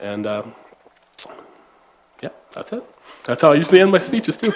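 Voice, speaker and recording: This man has a high voice in an Upper Midwest accent. Both his pitch and his loudness swing very widely. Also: fairly quick pace. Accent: Upper Midwest American. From South Dakota. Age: 30s. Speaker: state legislator candidate. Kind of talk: political forum closing statement.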